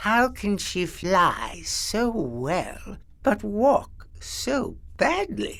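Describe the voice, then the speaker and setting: A man uses a put-on character voice, high in pitch, at a very slow pace. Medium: read story. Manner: sly, playful.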